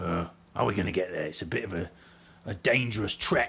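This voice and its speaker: This man adopts a character voice. His delivery is raspy. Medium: actual play. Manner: worried, fussy.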